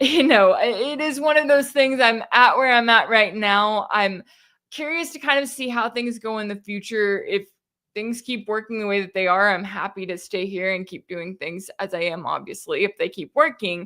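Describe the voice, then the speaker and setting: A woman with a slight Texas accent talks at a moderate pace in a bright, sharp, fairly high voice with lively intonation and big swings in loudness. The recording is very clean, with a silent background. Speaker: independent news commentator. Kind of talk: live-stream Q&A. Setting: live stream from home. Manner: casual, conversational.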